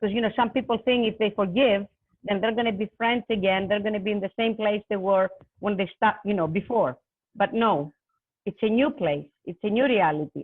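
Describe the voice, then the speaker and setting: This woman speaks at a fairly quick pace, with a medium pitch and ordinary pitch variation. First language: not English. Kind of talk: panel discussion. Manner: halting, many fillers.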